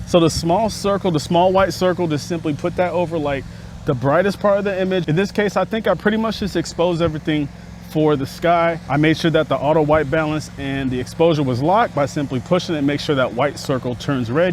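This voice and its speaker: A man talks at a very fast pace in an animated tone, his fairly high pitch showing ordinary variation over noticeable background noise. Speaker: filmmaking YouTuber. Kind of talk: tutorial. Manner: casual, animated; loud.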